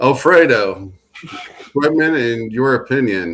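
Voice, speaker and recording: A man with a Midwestern US accent. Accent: US Midwest. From Illinois, Galesburg. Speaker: podcast host. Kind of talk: casual panel chat.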